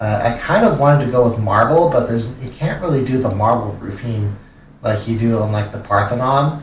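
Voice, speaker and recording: A man with a West Coast American accent at a fairly quick pace, medium in pitch with ordinary pitch variation, amid noticeable background noise and audible room echo. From California. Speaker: streamer. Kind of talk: gameplay live stream commentary. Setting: live stream. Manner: halting, many fillers and repeats.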